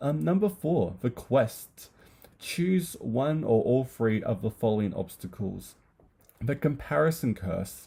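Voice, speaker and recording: At a fairly slow pace, a man with an Australian accent talks at medium pitch in a dark, mellow, somewhat breathy tone, his pitch swinging very widely. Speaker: booktuber. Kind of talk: casual chat. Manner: hesitant, many fillers.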